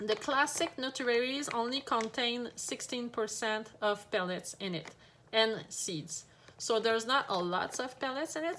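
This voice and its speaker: Her intonation lively and her pitch fairly high, a woman speaks at a moderate pace. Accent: French. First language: French. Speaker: pet shop owner. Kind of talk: product tutorial. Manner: hesitant, many fillers.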